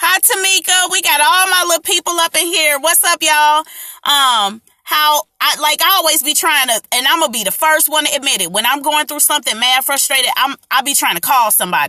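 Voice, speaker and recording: A woman's raised, projected voice, high-pitched with a bright, sharp tone, lively intonation and a fairly quick pace, dry and close with no echo. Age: 30s. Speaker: artist and small business owner sharing coping tips. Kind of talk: casual live stream talk. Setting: social media live stream.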